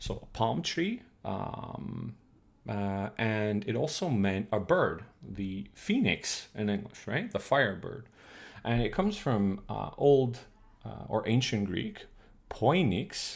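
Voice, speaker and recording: A man speaks very slowly at a fairly low pitch, with lively intonation and vocal fry. Room echo is audible. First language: Croatian. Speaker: streamer teaching old Russian. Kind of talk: live stream lecture. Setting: live stream. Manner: hesitant, many fillers.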